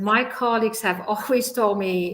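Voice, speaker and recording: A woman speaks with a non-native accent. Her pitch is fairly high, with ordinary pitch variation. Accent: foreign. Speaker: scientist. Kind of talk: panel discussion.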